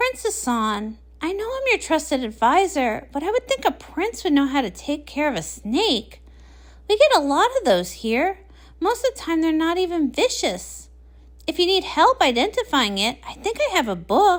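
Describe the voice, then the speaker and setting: In a put-on character voice, a woman squeaks at an extremely high pitch with very wide pitch swings, keeping a moderate pace. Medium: read story. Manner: calm, composed.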